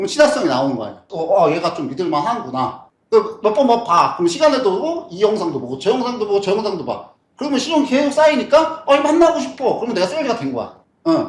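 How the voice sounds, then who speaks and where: Audible room echo surrounds a man talking at a very fast pace, his extremely high pitch making very wide swings. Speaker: business author and YouTuber. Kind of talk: lecture. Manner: casual, down-to-earth speaking style; repetitive, halting with fillers.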